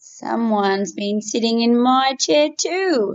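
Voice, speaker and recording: A growling, put-on character voice at a fairly slow pace. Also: woman, fairly high pitch for a woman. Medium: read story.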